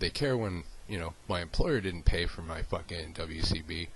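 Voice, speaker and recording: A man speaks at a moderate pace with a very deep, low pitch. His voice is somewhat breathy, with ordinary pitch variation. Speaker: injured worker. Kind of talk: personal testimony. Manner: halting.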